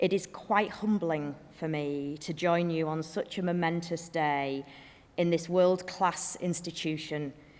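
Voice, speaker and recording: In a very clean recording with a silent background, a woman with a northern English accent speaks at a moderate pace with a fairly low voice and fairly even intonation. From northern England. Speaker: business executive and graduation speaker. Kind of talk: ceremonial speech. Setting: graduation hall with audience.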